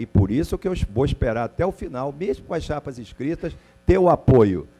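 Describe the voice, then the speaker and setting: In a dark, mellow tone at medium pitch, a man speaks at a moderate pace with lively intonation. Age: 60s. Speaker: club presidential candidate. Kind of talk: heated debate. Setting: university auditorium with audience.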